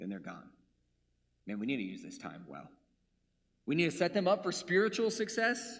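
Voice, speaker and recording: With lively intonation and a high pitch, a man speaks with big swings in loudness and long, frequent pauses. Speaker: preacher. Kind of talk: sermon. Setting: church. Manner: fast.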